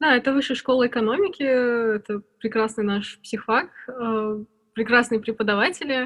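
A woman's somewhat breathy, fairly high voice at a moderate pace, with fairly even intonation and a quiet background. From Armenia, Yerevan. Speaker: UX researcher and lecturer. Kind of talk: casual interview.

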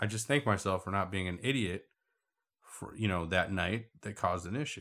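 A plain, everyday voice at a fairly quick pace. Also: man. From Puerto Rico, raised in US West. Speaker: musician and artist. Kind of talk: casual chat.

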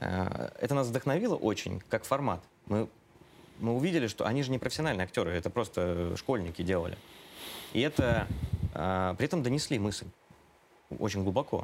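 A man at a medium pitch with lively intonation, very even loudness, a moderate pace and long, frequent pauses. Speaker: organization director. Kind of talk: interview. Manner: hesitant.

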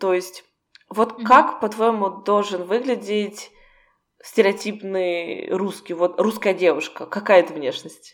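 Very slowly, a woman talks in a medium pitch. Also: ordinary pitch variation. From Russia. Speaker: podcast co-host, Russian expat. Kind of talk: casual chat.

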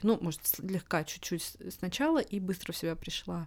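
A woman comes through in a very clean recording with a silent background. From Russia. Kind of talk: casual interview chat. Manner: hesitant with many fillers.

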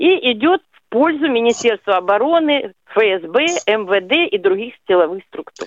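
Very slow speech carries very wide swings in pitch. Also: woman. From Rostov-on-Don, Russia. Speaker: caller. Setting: phone call.

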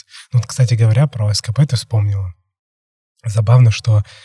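Somewhat breathy with a dark, mellow tone, a man of fairly low pitch speaks with ordinary pitch variation in a dry, close sound with no echo. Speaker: podcast host. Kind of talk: casual interview chat.

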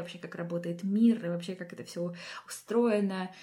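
At a moderate pace, a woman speaks in a somewhat breathy, dark, mellow tone with a fairly low pitch and ordinary pitch variation. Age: 20s. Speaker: podcast host. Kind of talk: scripted narration.

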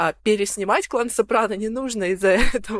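A woman with an ordinary speaking voice talks at a moderate pace and fairly high pitch with ordinary pitch variation, dry and close with no echo on a very clean recording with a silent background. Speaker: youtube blogger. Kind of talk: casual chat.

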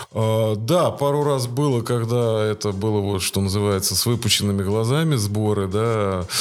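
A man speaks in a fairly low pitch with hardly any pauses and ordinary pitch variation. His loudness stays very even, and audible room echo surrounds his voice. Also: moderate pace. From Russia, Voronezh. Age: 40s. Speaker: volunteer organizer of weekly park runs. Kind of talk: casual interview.

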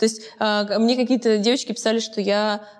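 Amid noticeable background noise, a woman talks at a fairly quick pace with a fairly high pitch and fairly even intonation. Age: 20s. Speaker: talk show host. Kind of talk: casual interview chat.

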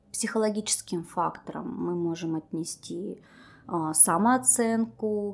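Speech comes at a very slow pace with ordinary pitch variation. It is a very clean recording with a silent background. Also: woman. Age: 30s. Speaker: cognitive behavioral therapist. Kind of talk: interview.

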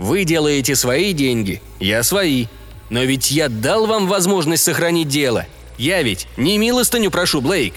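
Over noticeable background noise, a man with a fairly high voice talks at a fairly slow pace, his pitch swinging very widely. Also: very even loudness. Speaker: audiobook narrator. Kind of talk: sci-fi audiobook reading, scripted narration of a story.

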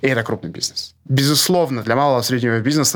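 A man's voice over noticeable background noise. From Russia (born in Grozny). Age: 40s. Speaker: e-commerce market researcher, company co-founder. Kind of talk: interview.

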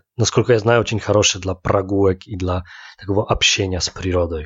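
The speaker has a Polish accent and sounds somewhat breathy. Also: man. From Łódź, Poland. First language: Polish (speaking Russian). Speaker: podcast co-host. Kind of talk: casual chat. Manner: halting, mixing Polish and Russian.

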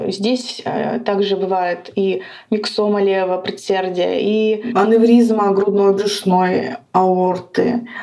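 A woman speaks very slowly at a medium pitch with fairly even intonation. Room echo and noticeable background noise accompany her voice. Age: 30s. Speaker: cardiologist. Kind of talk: interview. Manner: halting, with fillers.

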